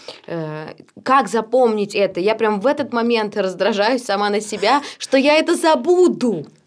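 An ordinary speaking voice from a woman, fairly high in pitch, fairly slow, with lively intonation. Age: 20s. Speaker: singer in a cover band, directing student. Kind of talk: casual interview chat.

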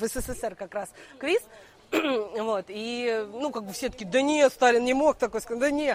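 Here a woman talks at a fairly quick pace. Her pitch is fairly high and her intonation lively. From Russia, Moscow. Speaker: financier and quiz organizer. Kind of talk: casual talk at a live event. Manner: halting, many fillers.

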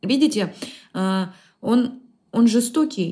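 A woman's very slow, somewhat breathy delivery with a dark, mellow tone and lively intonation. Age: 30s. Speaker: podcast co-host. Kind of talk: casual chat.

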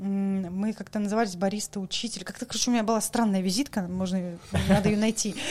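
A woman's animated, medium-pitched voice at a fairly quick pace. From Saint Petersburg, Russia. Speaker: coffee professional. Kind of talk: casual chat. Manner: animated, talkative.

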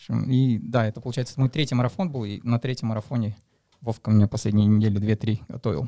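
The tone is dark and mellow, with ordinary pitch variation at a very fast pace. The sound is dry and close, with no echo. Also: man, medium pitch for a man. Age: 30s. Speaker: amateur marathon runner. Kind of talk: casual chat.

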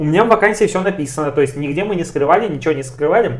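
A man talks at a very fast pace with lively intonation. His pitch is fairly high. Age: 20s. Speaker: podcast co-host. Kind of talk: casual chat.

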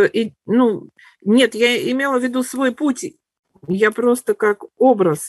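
A woman with a high pitch speaks very slowly with lively intonation, in a dry, close sound with no echo. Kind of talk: sharing in group discussion. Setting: online webinar.

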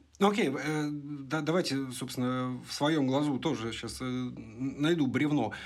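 Audible room echo surrounds a man talking at a moderate pace with ordinary pitch variation. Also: medium pitch for a man. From Russia. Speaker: podcast co-host. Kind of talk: casual chat.

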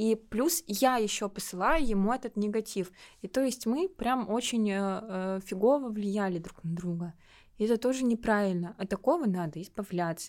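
In a very clean recording with a silent background, a woman with a normal speaking voice talks at a moderate pace, her pitch fairly high with ordinary variation. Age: 20s. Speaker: podcast co-host. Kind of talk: casual chat.

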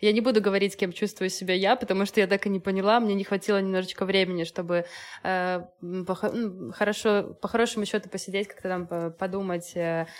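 A woman of medium pitch speaks at a fairly quick pace in a monotone, flat intonation. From Belarus (Minsk). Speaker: astrologer and mother. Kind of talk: casual interview chat.

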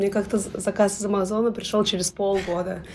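Noticeable background noise sits behind a woman speaking at a fairly quick pace. Her medium-pitched voice has fairly even intonation. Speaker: education consultant, business owner. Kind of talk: interview.

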